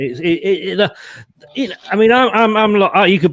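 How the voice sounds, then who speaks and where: The speaker is a man. He has an English accent. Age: 60s. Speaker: football fan panellist. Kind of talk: casual chat.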